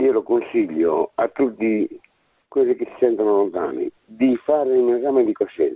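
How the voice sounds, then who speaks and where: Big swings in loudness mark a man speaking at a moderate pace. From Sardinia. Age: 60s. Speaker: caller. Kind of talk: testimony. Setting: phone call.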